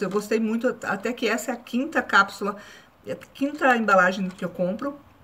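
Bright, sharp tone from a woman, pitch moving in an ordinary way. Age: 40s. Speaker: YouTuber; vlogger. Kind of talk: casual vlog review. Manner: halting. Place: home room. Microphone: phone near.

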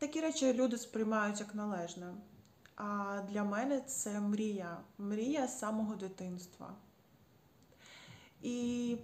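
Very slowly, a woman speaks at medium pitch. Her pitch variation is ordinary. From Ukraine. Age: 30s. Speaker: patient advocate. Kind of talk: personal testimony. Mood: earnest, calm, grateful. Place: home room. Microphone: phone near.

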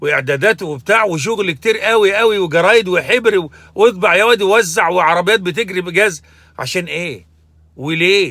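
Over a quiet background with a dry sound and no echo, a man uses a raised, projected voice with a bright, sharp tone, moderate pace and ordinary pitch variation. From Egypt. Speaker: religious commentator; commentator. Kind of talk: monologue commentary; opinion commentary, casual vlog rant. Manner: halting, with fillers. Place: car. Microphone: phone near.

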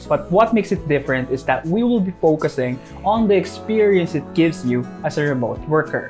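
A man's fairly quick speech with faint music in the background. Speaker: vlogger. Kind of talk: casual vlog chat. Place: home room. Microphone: lapel.

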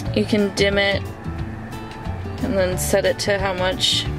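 A woman talks at a fairly slow pace with clear music in the background. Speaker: car owner vlogger. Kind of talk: casual vlog chat. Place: car. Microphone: phone near.

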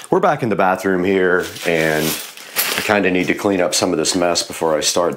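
A man talks at a fairly slow pace with a very deep, low pitch. Noticeable background noise is present. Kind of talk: casual tutorial vlog. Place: bathroom. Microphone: lapel.

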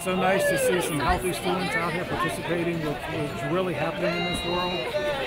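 Fairly quick speech over crowd noise in the background. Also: man. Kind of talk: interview answer. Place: open country. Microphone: handheld.

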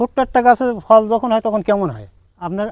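The sound is dry and close, with no echo. A man speaks with ordinary pitch variation. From Bangladesh, Satkhira. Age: 60s. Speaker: date palm farmer, former migrant worker. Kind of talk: interview.

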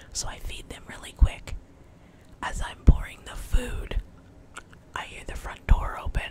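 Whispering at a moderate pace. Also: woman. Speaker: home vlogger. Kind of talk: casual vlog storytelling. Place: home room. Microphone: studio mic.

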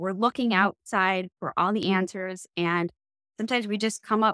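Dry, echo-free sound over a quiet background. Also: woman. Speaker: business coach, co-host. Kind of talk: podcast monologue. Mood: warm and encouraging. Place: home room. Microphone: video call.

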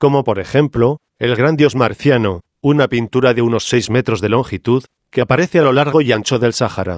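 The recording is dry and close with no echo and a quiet background, as a man at medium pitch talks at a moderate pace in an ordinary speaking voice. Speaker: documentary narrator. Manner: formal, measured, informative.

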